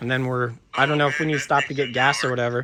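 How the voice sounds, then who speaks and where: On a very clean recording with a silent background, a man speaks in a bright, sharp tone with fairly even intonation. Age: 40s. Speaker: skateboard videographer and channel host. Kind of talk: casual chat.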